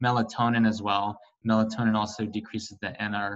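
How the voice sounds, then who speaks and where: This man's voice sits at a fairly low pitch, and his intonation is monotone and flat. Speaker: physician. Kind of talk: virtual town hall Q&A. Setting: video call. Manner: fast.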